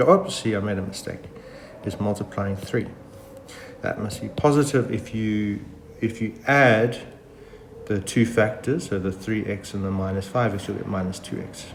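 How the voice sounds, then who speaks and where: Through audible room echo and noticeable background noise, a man with fairly low pitch talks at a moderate pace, with ordinary pitch variation and long, frequent pauses. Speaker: math teacher. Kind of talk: tutorial. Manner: casual with fillers.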